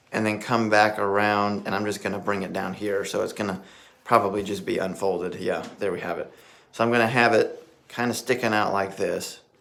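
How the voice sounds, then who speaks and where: Room echo is audible around a man's fairly low voice. He talks at a fairly quick pace in a monotone, flat intonation. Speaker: tie-knot tutorial creator. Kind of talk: tutorial. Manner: fast; casual.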